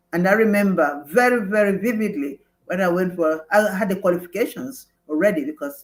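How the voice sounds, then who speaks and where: This woman has a Nigerian accent. She talks at a moderate pace. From Nigeria (Igbo). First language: Igbo. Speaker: former mayor, nurse, midwife and lawyer. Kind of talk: interview. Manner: halting.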